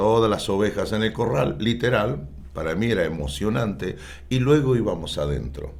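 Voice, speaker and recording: A man talks at a moderate pace in a fairly low voice with vocal fry. His pitch swings very widely, and the room echo is audible. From Argentina. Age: 60s. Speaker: pastor. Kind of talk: interview. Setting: church.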